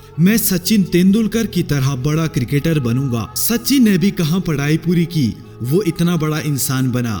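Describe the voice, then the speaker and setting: With music in the background, a man with a fairly high pitch talks with hardly any pauses. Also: lively intonation. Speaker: motivational speaker. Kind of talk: motivational speech.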